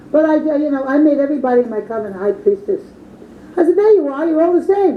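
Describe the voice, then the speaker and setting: With very wide pitch swings and a very fast pace, a woman talks through noticeable background noise. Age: 60s. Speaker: witch, coven leader. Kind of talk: interview.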